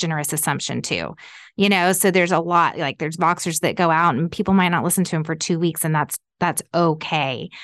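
A woman with an ordinary speaking voice talks at a fairly low pitch with fairly even intonation against a quiet background. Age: 40s. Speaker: fashion company founder. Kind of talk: casual chat.

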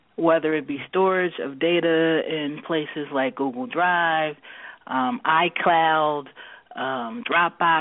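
Very slowly, a woman speaks in a very deep, low voice with ordinary pitch variation. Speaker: technology consultant guest. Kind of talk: interview discussion.

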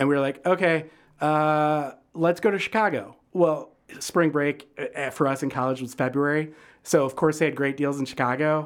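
On a very clean recording with a silent background, a man with a Midwestern American accent speaks at a fairly high pitch with fairly even intonation. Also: moderate pace. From Michigan, suburban Detroit. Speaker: food writer and critic. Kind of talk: casual interview.

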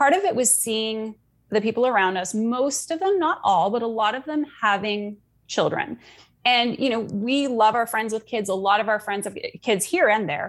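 Speaking at a moderate pace with ordinary pitch variation, a plain, everyday voice with a Canadian accent comes through in a very clean recording with a silent background. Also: woman, fairly high pitch for a woman. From Canada. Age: 40s. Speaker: life coach. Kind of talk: casual interview chat.

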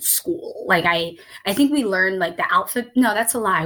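At a moderate pace, a woman with a Midwestern accent talks in a fairly high pitch with very wide pitch swings. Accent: American Midwest. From Somalia, raised in Columbus, Ohio (US Midwest). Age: 30s. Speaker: writer and diversity consultant. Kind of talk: interview conversation. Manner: hesitant, many fillers.

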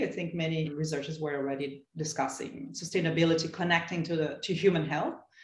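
Over noticeable background noise, a woman with a Portuguese accent speaks very fast at a very deep, low pitch, with fairly even intonation and hardly any pauses. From Brazil, São Paulo. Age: 30s. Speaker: sustainability researcher and advocate. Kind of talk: interview. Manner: halting.

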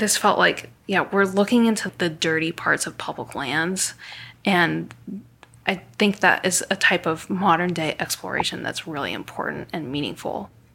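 At a moderate pace, a woman speaks with a bright, sharp tone, vocal fry, and a fairly low pitch with ordinary variation. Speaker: botanical illustrator and trekker. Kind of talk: interview recounting experiences.

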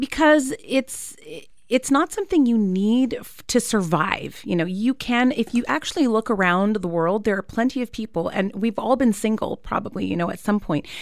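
In a plain, everyday voice, a woman with a Canadian accent talks at a moderate pace, her fairly high pitch carried by lively intonation. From Canada. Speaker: therapist. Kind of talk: radio interview. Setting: radio studio.

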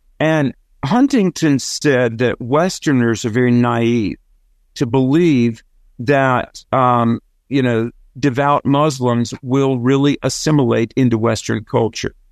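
A man at a medium pitch, very slow and fairly even in intonation, with very even loudness, a dry, close sound with no echo and a quiet background. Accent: Southern US. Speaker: author and radio host. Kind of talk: interview discussion.

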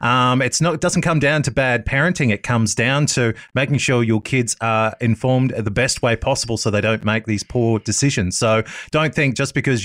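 A man with an Australian accent speaks fairly quickly at medium pitch, with ordinary pitch variation. The recording is very clean with a silent background, dry and close with no echo. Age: 30s. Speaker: radio host. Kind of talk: interview.

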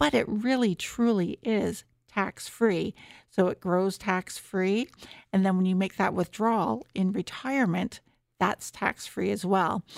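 A woman with a Canadian accent has an ordinary speaking voice at medium pitch, with ordinary pitch variation and very even loudness. The sound is dry and close with no echo, on a very clean recording with a silent background. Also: fairly slow pace. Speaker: tax and retirement researcher. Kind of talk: expert interview.

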